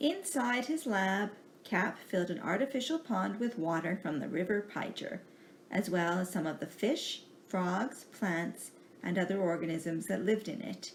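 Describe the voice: Her intonation is lively and her pace fairly slow. The woman's pitch sits fairly low.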